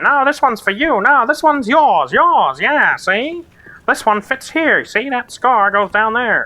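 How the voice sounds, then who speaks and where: This is a put-on character voice. It sits at a high pitch. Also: moderate pace. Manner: silly.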